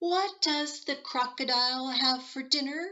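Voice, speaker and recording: In a put-on character voice, a female-sounding speaker talks fairly slowly at a high pitch. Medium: read story. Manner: inquisitive, polite.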